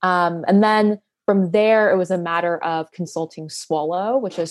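A woman with a plain, everyday voice speaks against a quiet background. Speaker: poet and research assistant. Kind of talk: interview conversation.

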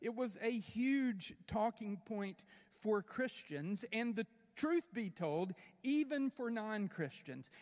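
A man with a South Carolina accent speaks at a very slow pace, his high-pitched voice rising and falling with lively intonation. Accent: Southern US (South Carolina). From upstate South Carolina. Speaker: pastor. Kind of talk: sermon.

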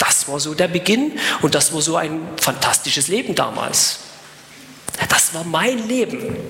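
Noticeable background noise runs under this recording. A man speaks amid audible room echo. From eastern Germany (former GDR). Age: 40s. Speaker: evangelist, former prisoner. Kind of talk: evangelistic sermon with personal testimony. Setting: live event with audience.

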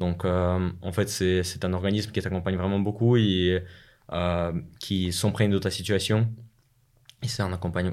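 A man with a very deep, low pitch talks in a flat monotone on a very clean recording with a silent background. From Russia (Moscow, Chechen family). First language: Russian (speaking French). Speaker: business school student. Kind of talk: interview.

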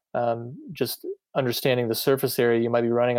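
A man with an American accent at medium pitch, a moderate pace and a monotone, flat intonation, on a very clean recording with a silent background. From US Midwest, Iowa. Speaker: physical therapist and triathlon coach. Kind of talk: casual chat.

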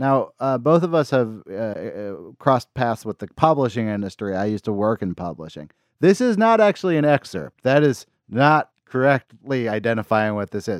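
A man with an American accent talks at a moderate pace in an ordinary speaking voice, with medium pitch and lively intonation, on a very clean, dry, close recording with no echo and a silent background. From US West Coast, Berkeley, California. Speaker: podcast host. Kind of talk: casual chat.

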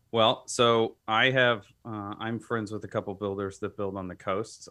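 A man speaks at a moderate pace with an American accent. His intonation stays flat and monotone. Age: 30s. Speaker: home builder. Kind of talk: casual chat. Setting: studio.

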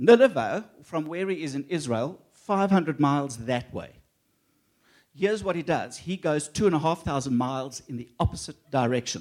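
A man with an ordinary speaking voice talks at a fairly high pitch. His pace is fairly slow and his intonation lively. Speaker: guest speaker. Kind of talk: sermon. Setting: church.

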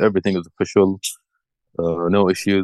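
A man's very deep, low voice with an American accent and fairly even intonation, dry and close with no echo, over a quiet background. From Saudi Arabia, childhood partly in Florida. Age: 40s. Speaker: metal fan. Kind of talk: casual interview. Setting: remote call. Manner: halting.

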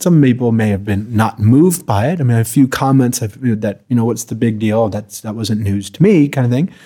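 A man with an American accent speaks in a dark, mellow tone. The recording is very clean, with a silent background. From US Midwest, Chicago. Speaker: palliative care doctor. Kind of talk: casual chat. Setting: in person, Marin California.

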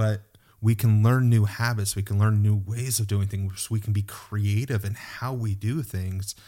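A man's fairly low, somewhat breathy voice, dark and mellow in tone, at a moderate pace with monotone, flat intonation. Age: 40s. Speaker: podcast host. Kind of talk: casual chat. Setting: video call.

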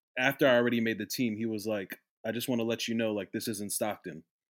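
With a New Jersey accent, a man talks at a fairly quick pace and medium pitch. The recording is very clean, the background silent. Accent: American, New Jersey. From US, South Jersey. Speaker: former college soccer player, manager. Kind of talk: casual chat.

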